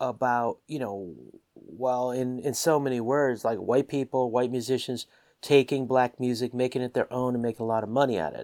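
On a very clean recording with a silent background, a man speaks in a normal speaking voice at medium pitch and moderate pace, with ordinary pitch variation. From US, Washington. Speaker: musician. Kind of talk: casual chat.

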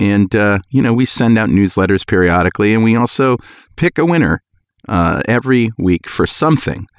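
A plain, everyday voice with an American accent speaks at a moderate pace with very even loudness and lively intonation. The sound is dry and close, with no echo. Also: man, fairly low pitch for a man. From US Northeast. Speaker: podcast host. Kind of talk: casual chat.

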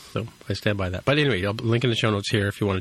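Against a quiet background, a man with a fairly low pitch sounds somewhat breathy. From Toronto, Canada. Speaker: podcast host. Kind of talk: casual chat.

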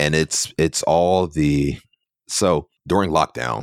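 Very deep, low male voice with vocal fry and ordinary pitch variation, dry and close with no echo. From Philadelphia. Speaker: photographer and former TV news reporter. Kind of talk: casual interview chat.

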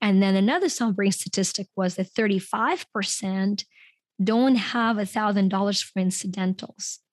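A somewhat breathy woman at medium pitch and a moderate pace, with fairly even intonation and a dry, close sound with no echo. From Ukraine. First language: Ukrainian and Russian. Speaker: guest coach on mindset. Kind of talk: interview conversation.

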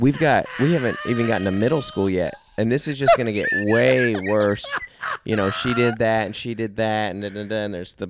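A man's fairly low voice with ordinary pitch variation, amid noticeable background noise. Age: 30s. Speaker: podcast host, comedian. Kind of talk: casual chat. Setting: in a parked minivan used as studio.

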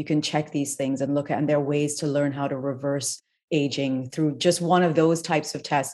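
Over a quiet background, a woman speaks at a fairly quick pace with a very deep, low pitch, monotone, flat intonation and a dark, mellow tone. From Trinidad. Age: 40s. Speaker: functional health coach. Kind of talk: interview. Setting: video call.

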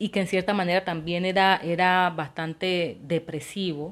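A woman speaks in an ordinary speaking voice at a medium pitch and a moderate pace. The recording is very clean, with a silent background. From Colombia, Quibdó, Chocó. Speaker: podcast host. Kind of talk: solo monologue podcast.

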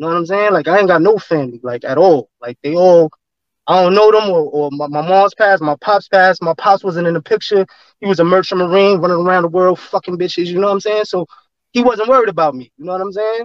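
A man with a New York accent, high pitch, ordinary pitch variation and a very fast pace. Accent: New York City street. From New York City, Flatbush Brooklyn. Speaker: former gang member. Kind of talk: casual interview storytelling. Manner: animated.

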